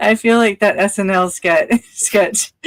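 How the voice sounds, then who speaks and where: A woman at medium pitch speaks with fairly even intonation in a dry, close sound with no echo. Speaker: live stream co-host. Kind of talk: casual chat. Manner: slow.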